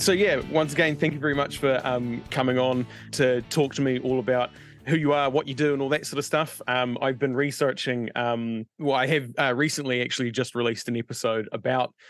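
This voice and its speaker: Over faint background music, a man speaks at a fairly quick pace with fairly even intonation in a dry sound with no echo. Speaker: podcast host. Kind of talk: interview question. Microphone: video call.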